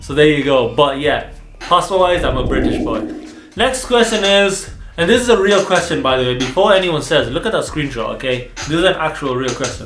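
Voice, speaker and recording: Amid noticeable background noise and audible room echo, a high-pitched man talks fairly quickly in an animated tone with very wide pitch swings. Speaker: dental student and vlogger. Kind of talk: casual Q&A vlog.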